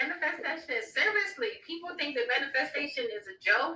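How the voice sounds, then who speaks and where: Over music in the background, a woman uses a raised, projected voice with an animated tone and very wide pitch swings. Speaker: tarot reader. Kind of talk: live stream chat. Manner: fast.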